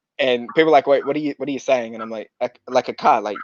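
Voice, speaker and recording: Here a man speaks with an Australian accent. The sound is dry and close, with no echo. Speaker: amateur marathon runner. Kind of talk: casual interview. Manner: fast; mumbling.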